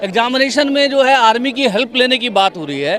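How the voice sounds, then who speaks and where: Crowd noise fills the background as a man talks at a moderate pace. His extremely high voice rises and falls with lively intonation. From Delhi, family from Bihar. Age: 60s. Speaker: protester. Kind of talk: street interview. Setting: outdoors at a protest.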